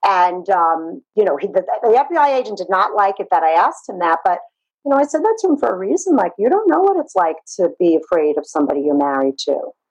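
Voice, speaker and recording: Speaking at a very fast pace, a woman with a Brooklyn accent uses very wide pitch swings. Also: medium pitch for a woman. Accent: New York (Brooklyn). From Brooklyn, New York. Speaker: therapist. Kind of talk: interview, personal story.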